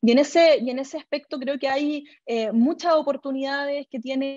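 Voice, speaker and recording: A woman with a Chilean accent, fairly even intonation and a moderate pace, in a dry, close sound with no echo. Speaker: government official. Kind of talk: interview answer. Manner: hesitant, many fillers.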